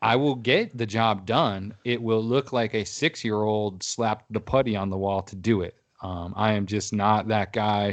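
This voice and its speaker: A man speaks at a moderate pace with hardly any pauses against a quiet background. His voice is fairly low with fairly even intonation. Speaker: podcast host. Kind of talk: casual chat. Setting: video call.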